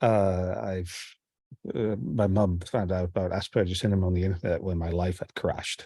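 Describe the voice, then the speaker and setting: A man's dark, mellow voice at a fairly low pitch and a fairly quick pace, on a very clean recording with a silent background. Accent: Dutch. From Netherlands. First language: Dutch. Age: 40s. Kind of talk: casual group discussion.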